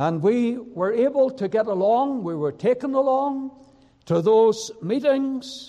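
With a Northern Irish accent, a man speaks at a very slow pace in an extremely high voice, his intonation lively. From Northern Ireland, County Down. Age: 70s. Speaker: preacher. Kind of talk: sermon and personal testimony. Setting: church service with congregation.

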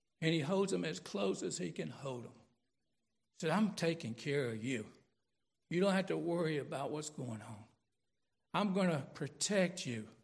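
A man with a fairly high pitch and vocal fry speaks at a moderate pace. His pitch swings very widely, and he takes long, frequent pauses. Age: 60s. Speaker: pastor. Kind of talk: sermon. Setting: church.

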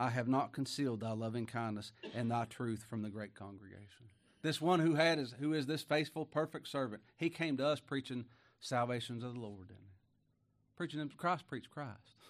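A man speaks at a fairly quick pace in a plain, everyday voice, with ordinary pitch variation and big swings in loudness. The background is quiet. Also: medium pitch for a man. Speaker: pastor. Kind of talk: sermon. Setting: church.

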